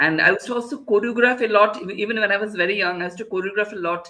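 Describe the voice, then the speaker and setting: A man uses a raised, projected voice with a bright, sharp tone. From India, Kolkata. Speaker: choreographer. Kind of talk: interview. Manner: halting.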